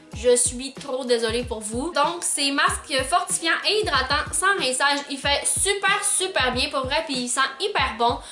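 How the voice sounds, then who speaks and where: A woman's raised, projected voice in a Quebec accent, high pitch and lively intonation, hardly any pauses, with music in the background and audible room echo. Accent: Québécois French. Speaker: beauty vlogger. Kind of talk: product review vlog. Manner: casual, chatty with many fillers.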